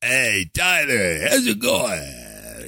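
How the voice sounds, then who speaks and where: A man performs in a put-on character voice. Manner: buddy-ish, casual.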